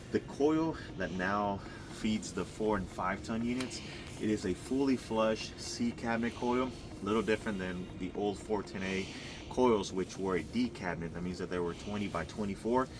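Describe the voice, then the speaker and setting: Speaking in an ordinary speaking voice, a man holds a moderate pace and a fairly low pitch with ordinary pitch variation. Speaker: HVAC contractor presenting installation video. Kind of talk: on-site tutorial walkthrough.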